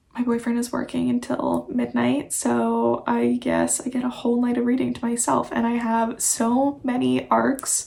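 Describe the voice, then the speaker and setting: A woman speaks at a very even loudness with hardly any pauses, and noticeable background noise sits behind her. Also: moderate pace. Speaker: neuroscience researcher and book vlogger. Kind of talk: vlog narration. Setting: at home; lab. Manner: casual, filler-heavy; soft-spoken.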